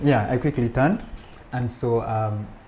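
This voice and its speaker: Somewhat breathy, a man speaks at a fairly slow pace in a medium pitch with a dark, mellow tone. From Uganda, childhood partly in Belgium. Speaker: rabbi. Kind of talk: interview conversation. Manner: hesitant, many restarts.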